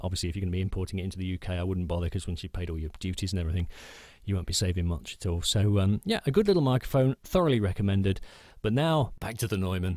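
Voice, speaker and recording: Talking at a very fast pace, a man with a British accent has a very deep, low pitch and ordinary pitch variation. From United Kingdom. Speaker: voice actor. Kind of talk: casual talk to camera. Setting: home studio booth.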